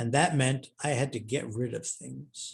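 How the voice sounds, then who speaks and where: Speaking at a very slow pace, a man sounds somewhat breathy. His medium pitch shows ordinary variation. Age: 70s. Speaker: historian and author. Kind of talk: Q&A at online author talk.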